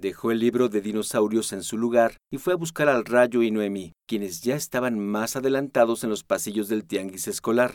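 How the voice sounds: Here is a natural reading voice. The text is read aloud in that manner.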